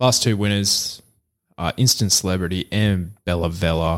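A man with an Australian accent talks at a fairly low pitch and a fairly slow pace. The recording is very clean with a silent background. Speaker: horse racing podcast host. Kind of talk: casual chat.

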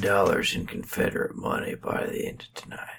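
A man speaks quietly. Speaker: podcast co-host. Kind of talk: casual comedic chat. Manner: hushed, low tone.

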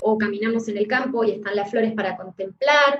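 A woman with a normal speaking voice, a fairly high pitch, and ordinary pitch variation. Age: 40s. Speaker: therapist. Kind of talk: interview.

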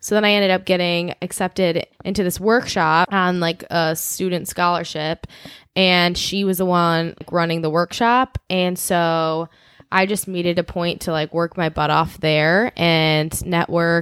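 A plain, everyday voice with an American accent speaks at a fairly slow pace with fairly even intonation, in a very clean recording with a silent background and a dry, close sound with no echo. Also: woman. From Chicago suburbs. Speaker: podcast co-host. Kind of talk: casual chat.

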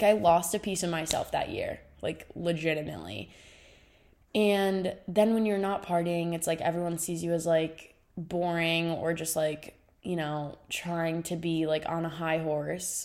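At a fairly slow pace, a woman with an unremarkable speaking voice talks in a fairly low pitch with fairly even intonation. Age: 20s. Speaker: solo podcaster, recent college graduate. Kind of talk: casual solo monologue.

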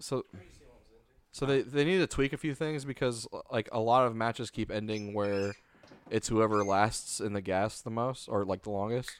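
This is an ordinary speaking voice with ordinary pitch variation. The pace is moderate. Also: man, medium pitch for a man. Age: 20s. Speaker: podcast host. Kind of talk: casual chat.

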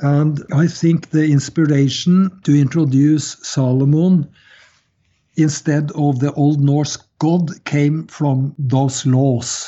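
The speech comes at a very slow pace. It carries a Scandinavian accent. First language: Scandinavian language. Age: 70s. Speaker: author and Freemasonry researcher. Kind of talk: interview.

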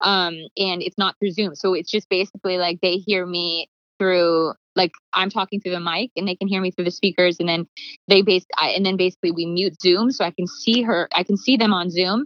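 A woman's normal speaking voice at a medium pitch, with a Canadian accent, fairly even intonation and a fairly quick pace. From Canada, Calgary. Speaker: songwriter and producer. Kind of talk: interview.

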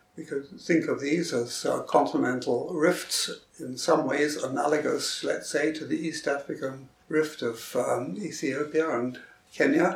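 A man talks fairly slowly while noticeable background noise fills the recording. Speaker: retired geology professor. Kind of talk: interview recollection.

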